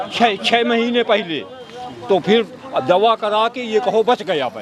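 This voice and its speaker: Over noticeable background noise, a man with a high voice talks with ordinary pitch variation. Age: 70s. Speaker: farmer. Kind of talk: street interview. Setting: outdoors at a tea stall. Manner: halting, repetitive.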